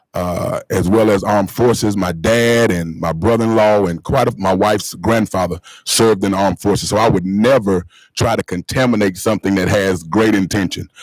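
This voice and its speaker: A man talks at a fairly quick pace with a North Carolina accent. His pitch sits fairly low. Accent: Southern US (North Carolina). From North Carolina (Marshville). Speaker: school board member and pastor. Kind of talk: public meeting remarks. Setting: board meeting. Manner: fast when excited.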